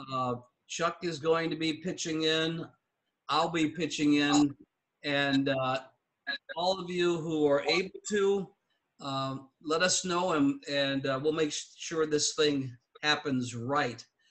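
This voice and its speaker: A man's very slow speech with fairly even intonation and long, frequent pauses, over a quiet background. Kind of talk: meeting announcements. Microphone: video call.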